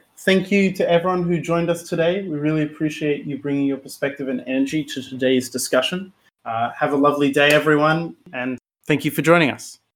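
This man talks at a fairly quick pace with an Australian accent. His pitch is fairly high, with ordinary pitch variation. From Brisbane, Australia. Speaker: podcast co-host. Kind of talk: scripted outro; podcast interview.

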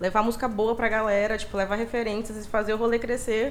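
Her voice sits fairly high. This woman speaks at a very fast pace. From Brazil, Maranhão (São Luís). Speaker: DJ and party collective founder. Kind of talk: casual interview.

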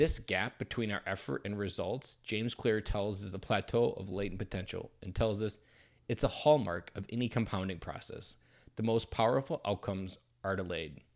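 Here a man speaks at a moderate pace with an Upper Midwest accent. His pitch is fairly low, and the recording is very clean with a silent background. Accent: Upper Midwest American. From US Midwest, southern Wisconsin. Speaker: community member presenting weekly content. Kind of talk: personal reflection; reading aloud.

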